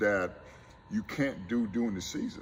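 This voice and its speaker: A man with an American accent speaks at a medium pitch, his voice swinging very widely in pitch and showing vocal fry. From South Carolina Low Country. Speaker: college basketball coach. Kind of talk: interview.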